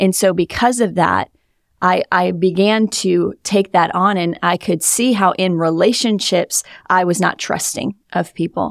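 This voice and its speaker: A woman with an unremarkable speaking voice at medium pitch, fairly even intonation and a fairly slow pace, in a dry, close sound with no echo on a very clean recording with a silent background. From Wisconsin. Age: 30s. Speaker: pastor. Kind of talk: testimony.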